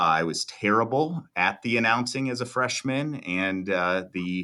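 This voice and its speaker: A man with a Midwestern American accent speaks at a fairly low pitch with ordinary pitch variation and a bright, sharp tone. The recording is very clean, the background silent. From US Midwest (Iowa). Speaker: video production business owner. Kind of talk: interview.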